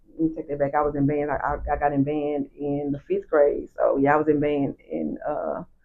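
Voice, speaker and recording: There are hardly any pauses in this woman's speech. Her tempo is moderate. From Dallas, Texas (Pleasant Grove, East Dallas). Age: 40s. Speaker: nightlife promoter. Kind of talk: casual interview.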